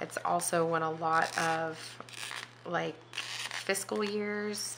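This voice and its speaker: The voice is soft-spoken, with fairly even intonation. Audible room echo surrounds it. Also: woman. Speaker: planner video creator. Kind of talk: casual vlog chat while crafting. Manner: soft-spoken, talking quietly.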